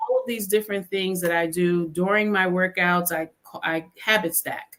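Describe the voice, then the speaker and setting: A woman speaks in an ordinary speaking voice at a moderate pace, with a medium pitch and fairly even intonation. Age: 60s. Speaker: therapist and author. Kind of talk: podcast interview.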